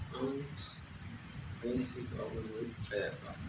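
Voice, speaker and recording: A Spanish accent amid noticeable background noise and audible room echo. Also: man. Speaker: software developer, tech video creator. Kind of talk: tutorial. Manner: halting.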